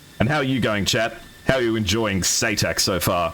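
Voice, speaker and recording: A man with an American accent, with noticeable background noise. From Australia. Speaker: esports commentator. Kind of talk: live commentary. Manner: animated.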